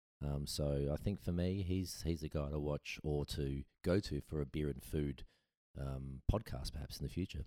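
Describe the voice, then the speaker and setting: Dark and mellow in tone, a man with an Australian accent speaks at a moderate pace in a very deep, low pitch with ordinary pitch variation, the sound dry and close with no echo. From Adelaide, South Australia. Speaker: brewery founder and former winemaker. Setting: kitchen table podcast setup.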